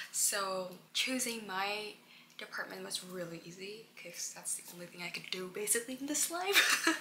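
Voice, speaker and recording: This woman's loudness swings widely. Audible room echo and noticeable background noise surround her voice. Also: medium pitch for a woman, ordinary pitch variation, moderate pace. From Indonesia. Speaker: international student, vlogger. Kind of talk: casual Q&A vlog. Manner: casual, halting.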